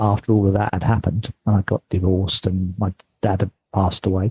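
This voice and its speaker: With a British accent, a man speaks at a fairly quick pace in a dark, mellow tone. The sound is dry and close with no echo. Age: 60s. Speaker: mindfulness teacher and marathon fundraiser. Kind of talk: interview.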